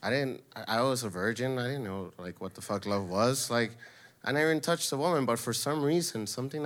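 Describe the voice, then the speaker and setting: This man has an ordinary speaking voice and an American accent, talking at a fairly quick pace with ordinary pitch variation. The recording is very clean with a silent background. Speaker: storyteller. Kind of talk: storytelling. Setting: stage with audience.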